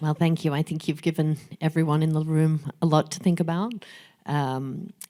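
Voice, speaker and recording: A woman with an Australian accent and a dark, mellow tone speaks at a moderate pace, very deep and low in pitch, with fairly even intonation. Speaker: fintech executive and moderator. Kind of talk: fireside chat.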